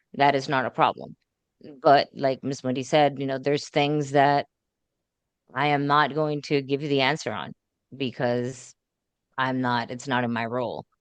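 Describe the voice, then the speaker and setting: A woman with a Puerto Rican accent speaks at a moderate pace in a very deep, low pitch, with monotone, flat intonation and long, frequent pauses. The background is quiet, and the sound is dry and close with no echo. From Puerto Rico. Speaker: school board candidate. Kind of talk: candidate interview.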